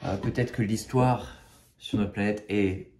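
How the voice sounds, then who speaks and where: A man with a fairly low, somewhat breathy voice talks at a moderate pace. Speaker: spiritual video creator. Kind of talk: spiritual talk to camera. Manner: halting, many fillers and repetitions.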